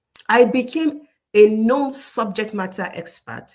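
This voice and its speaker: A woman with a Nigerian accent talks at a fairly slow pace in a fairly high, somewhat breathy voice. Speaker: career coach. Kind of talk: casual talk to camera with storytelling. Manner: animated.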